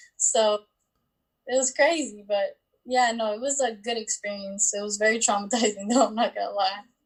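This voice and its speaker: A woman talks at a moderate pace with a fairly high pitch and fairly even intonation. Her voice is somewhat breathy. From Bosnia/Croatia, moved to Las Vegas at about 9. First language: Bosnian. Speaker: scholar athlete. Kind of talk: interview, personal story.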